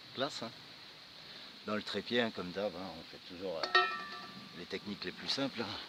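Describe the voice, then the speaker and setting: A man at a fairly low pitch over noticeable background noise. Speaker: bushcraft vlogger. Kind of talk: outdoor vlog walkthrough. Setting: outdoors. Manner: casual; soft-spoken.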